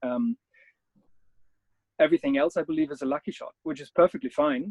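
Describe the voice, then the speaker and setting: A man with a German accent speaks at a fairly quick pace with a fairly high pitch. His intonation is lively, and his loudness swings widely. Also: dry, close sound with no echo. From Germany. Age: 30s. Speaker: adventure photographer. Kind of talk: interview. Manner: halting.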